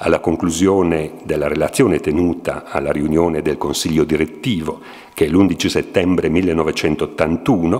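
A man talks with a very deep, low pitch and ordinary pitch variation. His pace is fairly slow. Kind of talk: lecture. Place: hall. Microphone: podium.

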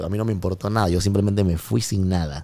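A man with a Panamanian accent, very deep and low in pitch, dark and mellow in tone, with fairly even intonation at a very fast pace. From Panama, Colón. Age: 30s. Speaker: music producer; guest. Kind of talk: casual chat. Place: studio. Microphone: studio mic.

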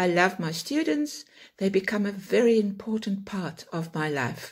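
Very wide pitch swings and a somewhat breathy quality mark this moderately paced voice over a quiet background. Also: woman. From South Africa. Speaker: online English teacher. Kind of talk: self-introduction talk to camera. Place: home room. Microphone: phone near.

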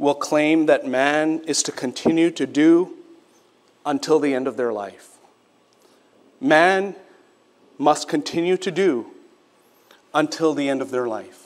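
Speaking at a fairly slow pace with long, frequent pauses, a man uses a fairly high pitch and ordinary pitch variation. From Quebec, Canada (Sri Lankan family). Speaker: pastor. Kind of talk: sermon. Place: church. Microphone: podium.

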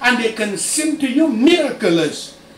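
A man's voice carries audible room echo. Light background noise is present. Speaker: preacher. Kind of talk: sermon.

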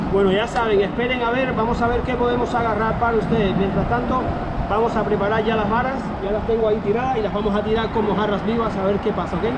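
Very fast speech from a man over loud background noise. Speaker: fishing channel host. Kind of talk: casual vlog chat. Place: waterside.

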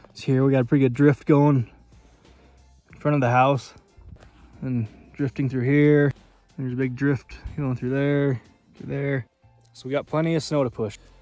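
A man speaks at a moderate pace in a monotone, flat way, with long, frequent pauses. Faint music plays in the background, and the sound is dry with no echo. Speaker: farmer vlogger. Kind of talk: casual vlog chat. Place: street. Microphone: phone near.

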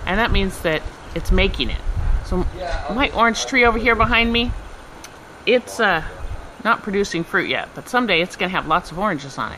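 A woman's bright, sharp voice at a moderate pace, with faint background noise. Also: medium pitch for a woman, lively intonation.

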